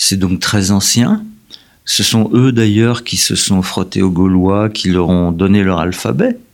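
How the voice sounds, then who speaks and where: The speaker moves at a very slow pace with fairly even intonation. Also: man, fairly low pitch for a man. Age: 70s. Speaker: historian, professor emeritus. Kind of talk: interview. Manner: halting, many repetitions.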